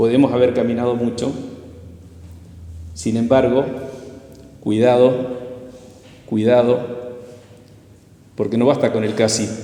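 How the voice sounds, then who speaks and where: With noticeable background noise and audible room echo, a man of medium pitch speaks in a monotone, flat way at a fairly slow pace, leaving long, frequent pauses. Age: 60s. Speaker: lay preacher. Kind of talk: sermon.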